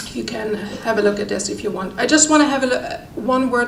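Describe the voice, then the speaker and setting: A woman's fairly high voice carries audible room echo over noticeable background noise. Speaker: doctor at a medical humanitarian organisation. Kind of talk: conference talk. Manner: halting with many fillers.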